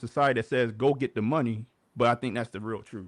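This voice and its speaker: Dry and close with no echo, a man with an American accent talks at a fairly quick pace with ordinary pitch variation. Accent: Baltimore accent morphed with Southern. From Baltimore, US. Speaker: podcast host. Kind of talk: livestream commentary. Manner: casual, filler-heavy.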